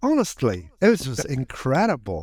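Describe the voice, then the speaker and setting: This man talks with an Irish accent. His intonation is lively. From Ireland. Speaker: entrepreneur, author. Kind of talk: podcast interview answer.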